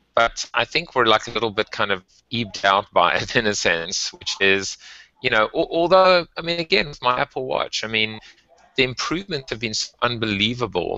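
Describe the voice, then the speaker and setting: A man with a South African accent, medium pitch, lively intonation and a moderate pace. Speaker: tech and marketing podcast co-host. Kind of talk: casual chat.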